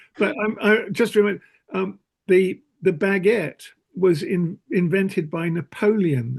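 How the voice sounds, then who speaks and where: A man with a southern English accent speaks at a fairly slow pace, his voice pitched high for a man. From southeast England, Kent (Whitstable). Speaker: Quaker meeting participant. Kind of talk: casual group discussion. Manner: halting, many repetitions.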